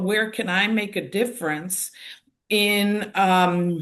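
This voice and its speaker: The speaker has an American accent and talks at a fairly slow pace. Audible room echo surrounds the voice. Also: woman. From United States. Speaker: activist. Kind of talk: panel discussion.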